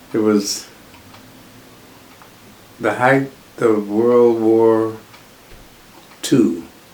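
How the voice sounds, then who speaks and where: Against noticeable background noise, a man talks very slowly at a medium pitch with ordinary pitch variation and long, frequent pauses. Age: old. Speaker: World War Two Air Force veteran. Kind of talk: interview answer.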